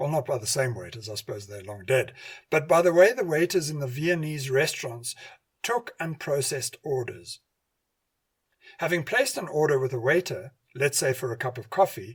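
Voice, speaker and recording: A somewhat breathy man with a fairly high pitch, lively intonation and a moderate pace. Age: 60s. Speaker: radio host and hypnotherapy lecturer. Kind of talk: scripted narration.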